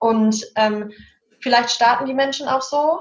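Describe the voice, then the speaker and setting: A woman's voice, high in pitch. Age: 30s. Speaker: social worker. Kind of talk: casual chat.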